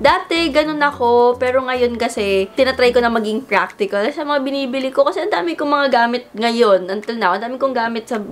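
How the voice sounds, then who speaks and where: Noticeable background noise sits behind a woman speaking at a fairly high pitch. She talks at a fairly quick pace with ordinary pitch variation. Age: 20s. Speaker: vlogger. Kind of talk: casual chat.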